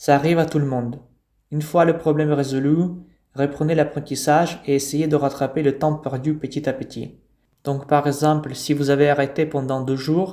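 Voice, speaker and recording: Monotone, flat delivery from a man with a fairly high pitch. His tone is dark and mellow. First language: not French; French learned as foreign language (speaking French). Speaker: language teacher. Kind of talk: tutorial.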